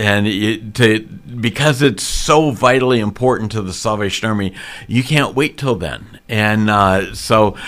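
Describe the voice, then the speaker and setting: A man with a medium-pitched voice and ordinary pitch variation talks at a fairly slow pace. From US Midwest, raised in Missouri. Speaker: Salvation Army officer. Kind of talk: radio interview.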